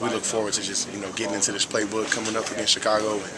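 Loud background noise runs under this clip. A man talks at a very fast pace. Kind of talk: interview answer. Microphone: phone near.

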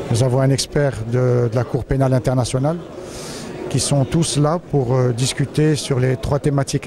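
Noticeable background noise sits behind a man talking at a fairly quick pace with fairly even intonation, his sound dry without echo. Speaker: security forum organizer. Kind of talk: interview. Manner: halting. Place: hall. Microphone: handheld.

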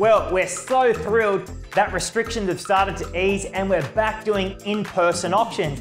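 A man's high-pitched voice at a fairly slow pace with fairly even intonation, audible room echo, and clear music in the background. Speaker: auctioneer. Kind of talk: market update talk to camera. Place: studio. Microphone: lapel.

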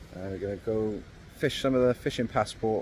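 A man talks at a moderate pace in a fairly low voice. His tone is slightly mellow and his intonation fairly even.

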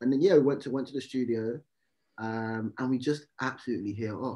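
A man with a London accent and ordinary pitch variation, against a quiet background. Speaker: rapper. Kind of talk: interview. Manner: halting. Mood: relaxed, friendly. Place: home room. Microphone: video call.

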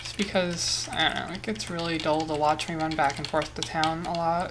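A woman's fairly low voice with fairly even intonation, a moderate pace and noticeable background noise. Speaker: gaming YouTuber. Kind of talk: solo gameplay commentary. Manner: casual, muses aloud while playing.

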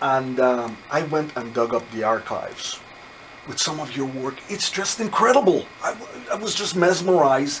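Noticeable background noise sits behind a man with a fairly high pitch. He speaks at a moderate pace with lively intonation. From Trinidad. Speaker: radio host. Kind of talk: casual interview. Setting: radio studio.

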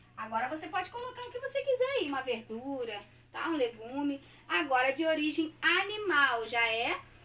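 A woman with a Brazilian accent speaks at a fairly slow pace in a raised, projected voice with a warm tone. Her pitch is high and makes very wide swings. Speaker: primary school teacher. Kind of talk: online class for young children. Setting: recorded lesson at a whiteboard. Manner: warm, affectionate teacher tone. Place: home room. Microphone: phone near.

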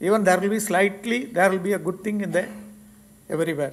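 Here a man speaks in a high voice. His pitch varies in an ordinary way. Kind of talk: formal speech. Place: hall. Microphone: podium.

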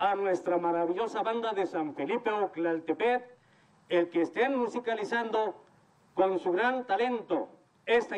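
A man's high voice, fairly slow, with ordinary pitch variation and light background noise. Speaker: event announcer or official. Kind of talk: formal welcome speech. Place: open country. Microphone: handheld.

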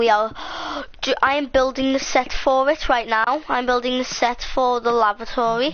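The delivery is animated at a moderate pace. Noticeable background noise is present. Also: woman. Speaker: YouTube gamer. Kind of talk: casual chat. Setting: home recording with live stream. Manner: rambling, animated.

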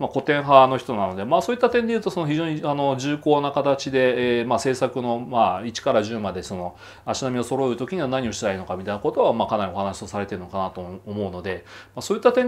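A man talking at a very fast pace with very wide pitch swings. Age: 40s. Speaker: commentator and blogger; economic commentator. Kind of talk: monologue commentary; commentary. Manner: casual, hesitant with many fillers. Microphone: phone near.

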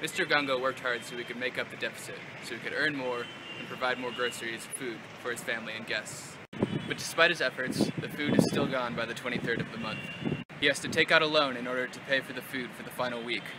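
Over loud background noise, a man with an American accent talks at a fairly quick pace with fairly even intonation and big swings in loudness, the sound dry with no echo. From Seattle, Washington, US. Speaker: NGO volunteer presenter; presenter. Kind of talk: explainer. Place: street. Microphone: phone near.

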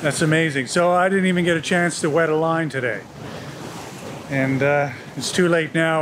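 At a moderate pace, a man talks with fairly even intonation amid noticeable background noise. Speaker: boat owner vlogger. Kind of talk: casual vlog chat. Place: boat. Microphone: phone near.

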